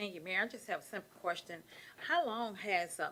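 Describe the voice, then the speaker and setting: A woman talks with an American accent at a fairly quick pace. Her pitch variation is ordinary. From Clarksville, Tennessee. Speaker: city council member. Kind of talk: council meeting debate.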